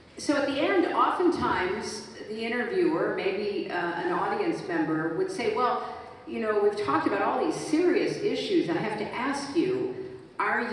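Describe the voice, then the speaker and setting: A high-pitched woman speaks at a moderate pace with very wide pitch swings. Strong room echo and light background noise surround her. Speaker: guest. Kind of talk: interview answer. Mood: reflective storytelling. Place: stage.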